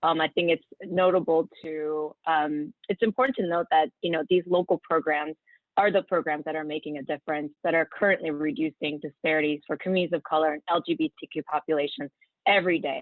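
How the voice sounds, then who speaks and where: At a fairly quick pace, a woman talks in a very deep, low pitch with ordinary pitch variation. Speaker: panel moderator. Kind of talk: panel introduction. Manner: hesitant, many ums.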